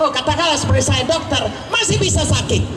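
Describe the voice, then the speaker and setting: Loud shouting from a woman at a high pitch and moderate pace, with audible room echo and noticeable background noise. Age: 70s. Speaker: pastor and doctor. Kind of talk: testimony.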